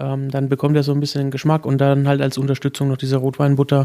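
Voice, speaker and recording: A man speaks with a fairly high pitch and a dark, mellow tone. His intonation stays monotone and flat. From Lower Franconia, Germany (near Würzburg). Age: young. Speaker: chef. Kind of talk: casual interview. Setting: live broadcast set up in a restaurant.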